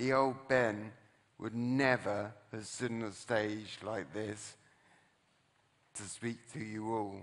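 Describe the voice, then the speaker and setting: A man of medium pitch speaks very slowly in a monotone, flat intonation, with long, frequent pauses, big swings in loudness, and audible room echo. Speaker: motivational speaker, brain injury survivor. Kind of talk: inspirational talk on stage. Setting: stage with audience.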